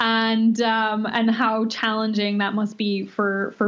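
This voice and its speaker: Monotone, flat intonation from a woman at a fairly high pitch, with noticeable background noise. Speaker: nutritionist. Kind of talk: interview. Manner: hesitant, many fillers.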